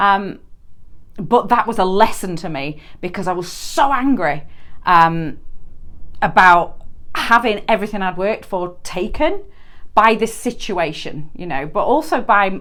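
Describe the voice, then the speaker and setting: With a Yorkshire accent, a woman talks at a fairly slow pace, her intonation lively and her pauses long and frequent. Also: medium pitch for a woman. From northern England, Yorkshire. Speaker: permanent makeup artist and trainer. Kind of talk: solo podcast monologue.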